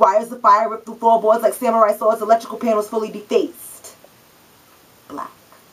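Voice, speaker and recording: Against noticeable background noise, a woman talks at a fairly high pitch in a monotone, flat intonation with big swings in loudness. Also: fairly quick pace. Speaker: spoken word poet. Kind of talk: spoken word poetry performance.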